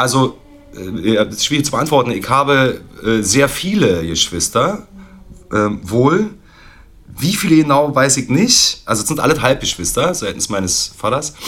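A man speaks at a fairly slow pace in a medium pitch, his voice swinging very widely up and down. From East Berlin. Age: 40s. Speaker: drummer. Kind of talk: casual chat.

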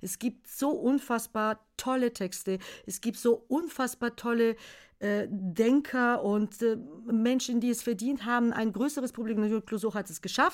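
Speaking at a fairly slow pace, a woman with a Bulgarian accent has a fairly high pitch and ordinary pitch variation, in a very clean recording with a silent background. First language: Bulgarian (speaking German). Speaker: children's songwriter. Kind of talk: casual chat. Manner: halting.

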